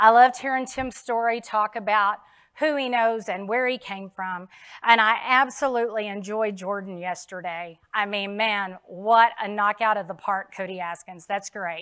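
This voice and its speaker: In a bright, sharp tone, a woman speaks at a moderate pace with ordinary pitch variation against a quiet background. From Texas. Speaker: insurance sales speaker; speaker. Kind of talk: keynote speech. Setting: stage with audience. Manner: animated. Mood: emotional about late father. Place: stage.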